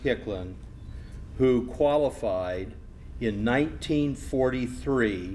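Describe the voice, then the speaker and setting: Very slow speech from a man, medium in pitch, in a room with audible echo. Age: 60s. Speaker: master of ceremonies. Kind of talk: ceremony speech.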